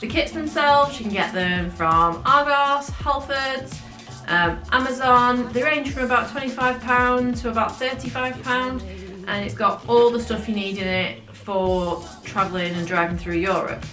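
A woman at a fairly slow pace, with audible room echo and clear music in the background. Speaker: travel vlogger. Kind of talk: casual vlog chat. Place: home room.

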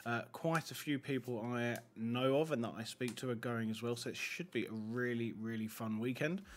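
At a moderate pace, a man talks with ordinary pitch variation and hardly any pauses over light background noise. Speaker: YouTube Pokemon card collector and pack opener. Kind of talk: casual talk to camera.

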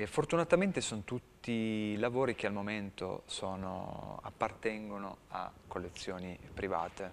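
A man speaks at a fairly slow pace with hardly any pauses. Light background noise can be heard. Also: fairly low pitch for a man, ordinary pitch variation. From Turin, Italy; Italy. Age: middle-aged. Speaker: street artist; guest. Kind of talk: interview. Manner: halting. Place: studio. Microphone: lapel.

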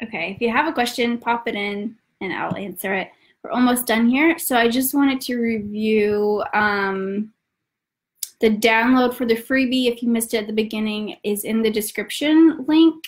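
At a moderate pace and with ordinary pitch variation, the speaker talks with an American accent against a quiet background. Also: woman, fairly high pitch for a woman. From US South, north Georgia. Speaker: travel company founder; travel guide host. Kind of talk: live webinar tutorial; live stream tutorial. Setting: online webinar, at home. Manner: hesitant with frequent fillers. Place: home room.

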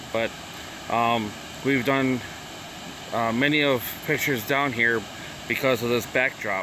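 A man with an American accent at a fairly slow pace, dry sound with no echo, noticeable background noise. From Wisconsin, Chippewa Falls area; Wisconsin. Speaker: vlogger; first-time vlogger. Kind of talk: casual vlog tour. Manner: halting, many fillers. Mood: relaxed, a bit unsure. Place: waterside. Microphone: phone near.

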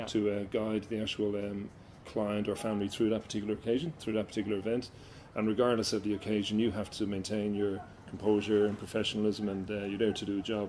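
Speaking with an Irish accent, a man talks at a very fast pace in a fairly low pitch. His intonation is monotone and flat, with light background noise. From Ireland. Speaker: MC and facilitator. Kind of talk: interview answer.

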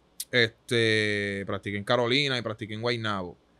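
A man's bright, sharp tone comes through at a moderate pace. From Puerto Rico, Santurce; Puerto Rico. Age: 20s. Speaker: basketball player; guest. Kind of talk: interview. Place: studio. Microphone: studio mic.

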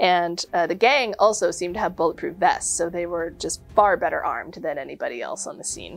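Woman at a moderate pace with big swings in loudness, faint music in the background. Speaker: presenter. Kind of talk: history storytelling talk.

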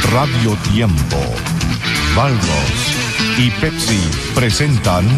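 Loud music in the background plays as a man talks at a very slow pace. The sound is dry with no echo. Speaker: radio announcer. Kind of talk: radio program presentation / station intro. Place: studio.

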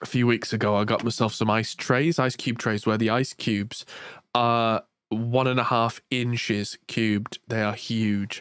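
A man with an English accent speaks at a fairly slow pace and medium pitch in a flat monotone with very even loudness, captured in a very clean, dry, close recording with no echo and a silent background. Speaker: music tech podcast host. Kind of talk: casual chat.

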